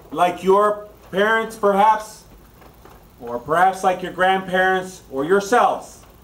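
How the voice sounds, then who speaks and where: At a fairly slow pace and with ordinary pitch variation, the voice comes through noticeable background noise. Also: man, high pitch for a man. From Honduras. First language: Spanish. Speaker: political candidate. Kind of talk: political speech. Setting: dinner event with audience.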